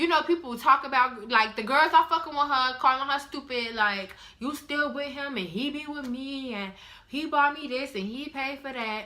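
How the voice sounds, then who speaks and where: Raising and projecting her high-pitched voice, a woman speaks at a moderate pace with ordinary pitch variation and big swings in loudness. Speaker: vlogger. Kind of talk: casual vlog talk.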